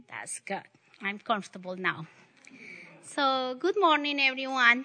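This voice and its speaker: Her voice raised and projected, a woman with a high pitch speaks at a fairly slow pace in a bright, sharp tone with very wide pitch swings. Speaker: church teacher. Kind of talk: sermon. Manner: halting.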